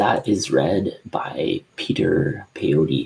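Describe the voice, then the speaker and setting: Here is a man. He is whispering. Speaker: book recommender vlogger. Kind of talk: casual monologue with reading aloud. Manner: halting, many fillers.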